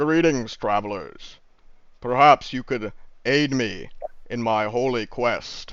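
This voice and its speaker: A man puts on a character voice at a medium pitch. He talks fairly slowly, with long pauses that come often. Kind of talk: formal, archaic.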